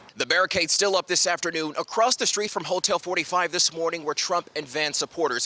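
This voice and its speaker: A man's high-pitched voice at a very fast pace, with ordinary pitch variation and noticeable background noise. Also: dry, close sound with no echo. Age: 20s. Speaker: news anchor and reporter. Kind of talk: news reporting; live field reporting.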